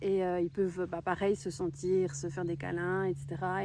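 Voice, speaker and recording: Using a medium pitch and a dark, mellow tone, a woman speaks at a fairly slow pace. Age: 30s. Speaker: horse owner. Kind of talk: casual talk to camera. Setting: outdoors.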